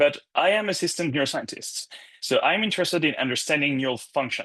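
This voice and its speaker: A man talks at a fairly quick pace with lively intonation and a fairly high pitch. His tone is bright and sharp against a quiet background. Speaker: neuroscience postdoc lecturer. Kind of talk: lecture. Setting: course lecture with screen share. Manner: fast.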